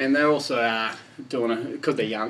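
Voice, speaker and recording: In an Australian accent, this man rattles along at a very fast pace. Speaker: club media host. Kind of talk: casual interview host. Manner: upbeat.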